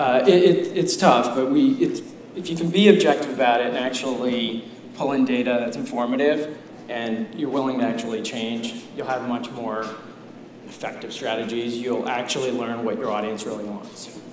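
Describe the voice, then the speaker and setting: Against noticeable background noise, a man with a medium-pitched voice speaks with big swings in loudness. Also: ordinary pitch variation, moderate pace. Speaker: digital marketing executive. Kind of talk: conference talk. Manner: soft-spoken.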